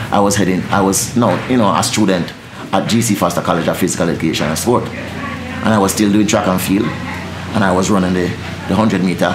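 A man with a very deep, low voice at a very fast pace, over noticeable background noise. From Jamaica. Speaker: dancehall deejay. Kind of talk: interview answer. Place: studio.

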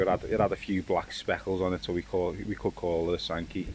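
A man talks at a fairly quick pace. His voice is dry with no echo, set against loud background noise. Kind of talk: casual vlog chat. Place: garden. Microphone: phone near.

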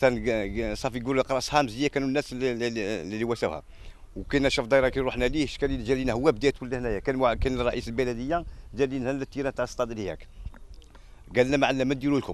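Very fast delivery from a man at medium pitch, fairly even intonation and a dry sound with no echo. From Algeria. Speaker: local resident. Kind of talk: street interview complaint. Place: open country. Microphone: handheld.

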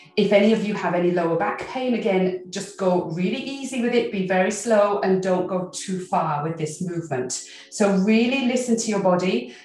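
There is audible room echo as a woman talks at a moderate pace with hardly any pauses. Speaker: qigong instructor. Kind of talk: tutorial. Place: home room.

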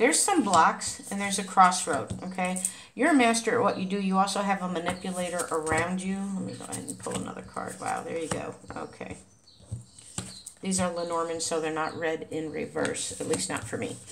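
A woman speaks at a fairly quick pace with ordinary pitch variation. Her loudness swings a lot, over noticeable background noise. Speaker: tarot card reader. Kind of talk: tarot reading commentary. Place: home room. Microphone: phone near.

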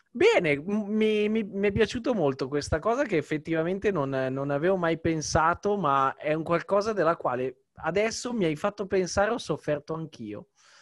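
A man speaks at a moderate pace with a high pitch and lively intonation, hardly pausing. The background is quiet and the sound is dry with no echo. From Italy. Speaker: youtuber; podcast host. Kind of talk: interview. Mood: warm, reflective. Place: home room. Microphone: studio mic.

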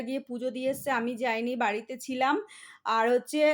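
On a very clean recording with a silent background, a woman speaks at a high pitch with fairly even intonation. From West Bengal, India (Barasat). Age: middle-aged. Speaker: family vlogger. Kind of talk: casual vlog narration. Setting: at home and outdoors at a temple.

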